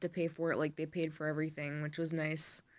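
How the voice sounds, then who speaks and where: The voice belongs to a woman, pitched fairly low. Her recording is very clean and the background silent. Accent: American. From upstate New York. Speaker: YouTuber. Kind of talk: casual storytelling vlog. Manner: hushed, not loud; filler-heavy, says um a lot.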